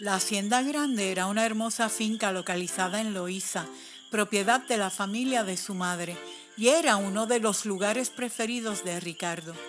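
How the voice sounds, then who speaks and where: Over background music, a woman with a medium-pitched voice speaks at a moderate pace with ordinary pitch variation. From Puerto Rico. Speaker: storyteller. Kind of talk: read story.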